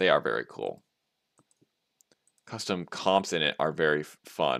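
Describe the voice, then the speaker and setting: At a fairly slow pace, a man with an American accent speaks in a bright, sharp tone. Vocal fry runs through his voice. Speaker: game developer streamer. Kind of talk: casual live stream chat. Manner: animated.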